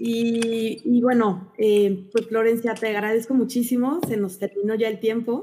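Speaking with a Mexican accent, a woman uses a fairly high pitch, a dark, mellow tone, and a somewhat breathy voice, keeping her intonation fairly even at a fairly slow pace with hardly any pauses. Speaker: podcast host, adoptive mother. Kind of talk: interview.

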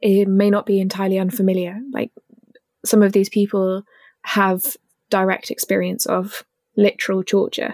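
At a fairly slow pace, a woman talks in a dry, close sound with no echo. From East Anglia, England. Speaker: campaigns officer and podcast co-host. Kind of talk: casual chat.

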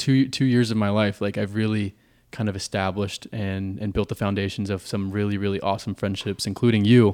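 On a very clean recording with a silent background, a man with a plain, everyday voice and fairly low pitch speaks at a moderate pace with fairly even intonation. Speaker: recurring podcast guest. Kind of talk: casual chat.

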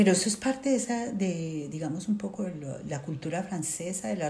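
Fairly quick, lively intonation with audible room echo. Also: woman. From Colombia. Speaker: sociologist, displaced migrant. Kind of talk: interview testimony.

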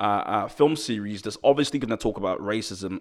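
A man speaks with a British accent. His pitch is fairly low, with ordinary variation. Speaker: podcast host. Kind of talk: casual interview.

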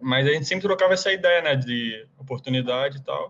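Here is a man with an ordinary speaking voice. He talks at a fairly quick pace and a fairly high pitch. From Brazil, Rio de Janeiro. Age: 20s. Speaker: college soccer player. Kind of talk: casual interview.

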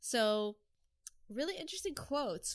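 The voice has a clear, smooth, fairly bright tone with ordinary pitch variation. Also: woman.

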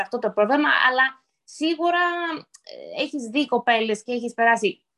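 This woman's voice is high-pitched, with a bright, sharp tone. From United States, Greek-American. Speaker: podcast host. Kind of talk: casual chat.

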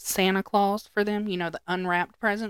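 In a very clean recording with a silent background and a dry, close sound with no echo, a woman talks in a plain, everyday voice at a medium pitch with fairly even intonation. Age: 30s. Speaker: podcast co-host. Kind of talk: casual chat. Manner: laughs often.

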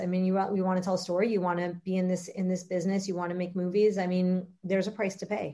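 Talking at a very fast pace, a woman with an American accent uses a medium pitch and a dark, mellow tone. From Miami, Florida (Uruguayan parents). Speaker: film writer and director. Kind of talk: interview. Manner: halting, many fillers and repeats.

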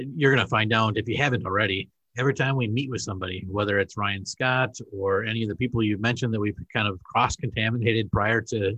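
Against a quiet background, a man with a Wisconsin accent speaks at a fairly quick pace in a medium pitch, with a bright, sharp tone and fairly even intonation. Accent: Wisconsin, northern Midwest. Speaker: podcast host, school administrator. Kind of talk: casual interview chat.

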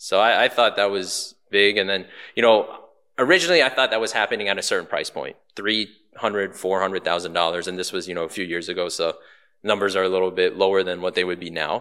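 A man with an American accent speaks at a very fast pace. His intonation is fairly even, and the recording is very clean with a silent background. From Baltimore, Maryland. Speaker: real estate agent and restaurant owner. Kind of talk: podcast interview.

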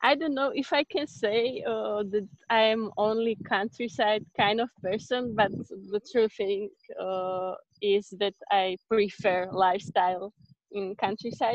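Speaking at a fairly slow pace in a Slovak accent, a woman keeps a medium pitch with ordinary pitch variation. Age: 20s. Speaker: exchange student. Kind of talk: interview. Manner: halting.

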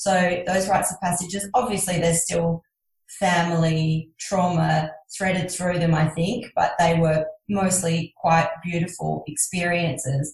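A woman with a fairly low pitch sounds somewhat breathy, keeping her loudness very even and her intonation fairly even. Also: fairly slow pace. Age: 40s. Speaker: podcast host. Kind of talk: interview.

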